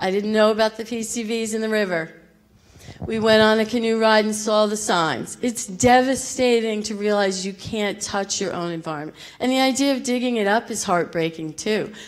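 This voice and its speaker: A woman talks at a moderate pace, her voice shaky. Audible room echo surrounds her. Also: fairly high pitch for a woman, ordinary pitch variation. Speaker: local resident. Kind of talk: public comment. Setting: public meeting in school theater. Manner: emotional, shaky.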